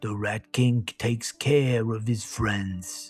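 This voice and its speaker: Faint music sits in the background while a man puts on a character voice at medium pitch. He speaks at a very slow pace. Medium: read story. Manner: streetwise, swaggering.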